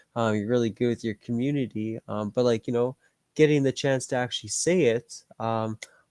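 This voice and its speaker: A man with a Canadian accent speaks at a fairly quick pace in a medium pitch, his intonation fairly even, recorded very cleanly with a silent background and a dry, close sound with no echo. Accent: nasal Canadian. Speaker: gaming streamer and podcast host. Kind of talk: casual chat. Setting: live stream.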